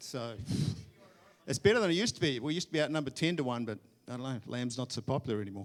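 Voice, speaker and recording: In a New Zealand accent, a man talks at a very fast pace with a medium pitch and ordinary pitch variation. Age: 60s. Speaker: guest preacher. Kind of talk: sermon. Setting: church.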